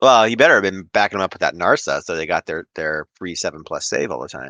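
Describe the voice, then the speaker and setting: A man with an Ohio accent at a very fast pace, big swings in loudness, a dry, close sound with no echo and a quiet background. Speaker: podcast host. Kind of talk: casual chat.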